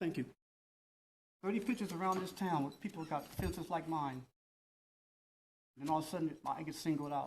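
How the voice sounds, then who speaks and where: The pace is fairly quick. Long pauses come often. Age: 60s. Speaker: resident speaking at public comment. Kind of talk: public comment at council meeting. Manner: halting.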